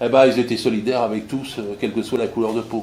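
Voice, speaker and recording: A man's speech comes with audible echo from the room and noticeable noise behind it. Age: 80s+. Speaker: retired labour inspector and political activist. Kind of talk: political speech at a public meeting. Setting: meeting hall with audience. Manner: animated; halting with repetitions.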